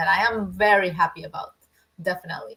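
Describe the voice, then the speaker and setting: In a Spanish accent, a woman speaks at a moderate pace with a medium pitch. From Argentina. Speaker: business owner, former construction worker. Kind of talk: interview. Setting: livestream. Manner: halting, many repeated words.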